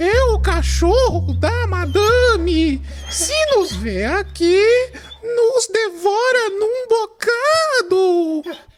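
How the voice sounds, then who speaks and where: Over light background noise, a put-on character voice speaks very slowly at an extremely high pitch. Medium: audio drama.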